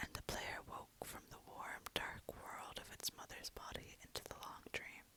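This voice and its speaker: The speaker whispers at a moderate speed. Noise in the background can be clearly heard. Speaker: ASMR artist. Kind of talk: poetry reading. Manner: whispered.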